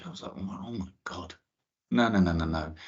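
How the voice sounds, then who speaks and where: A man with a strong London accent. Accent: thick London. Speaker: space scientist giving a careers talk. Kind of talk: talk to school students. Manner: hesitant, with repetitions and restarts.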